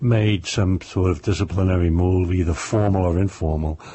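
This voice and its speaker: A man with a New York accent speaks at a fairly slow pace in a somewhat breathy voice. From New York, Brooklyn. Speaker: crime novelist, former police officer. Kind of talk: interview.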